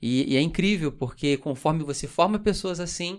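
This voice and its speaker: Delivered at a moderate pace with ordinary pitch variation, this voice comes through on a very clean recording with a silent background. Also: man. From Brazil, Rio de Janeiro. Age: 20s. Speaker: pastor. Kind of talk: casual chat.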